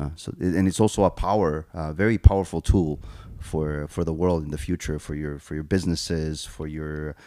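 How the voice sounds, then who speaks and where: The tone is dark and mellow, and the recording is very clean with a silent background. Delivery is fairly quick with fairly even intonation. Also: man. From South America (Argentina, Paraguay, Brazil), Korean family. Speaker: chef and restaurateur. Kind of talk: interview conversation.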